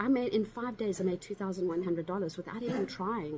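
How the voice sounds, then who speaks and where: There is noticeable background noise as a woman speaks in an animated tone. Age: 60s. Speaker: online business coach. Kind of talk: sales pitch.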